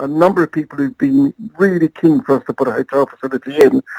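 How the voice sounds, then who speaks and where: Very fast, a man talks with an English accent and very wide pitch swings. The sound is dry and close, with no echo. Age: 60s. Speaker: airport marketing head. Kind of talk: interview.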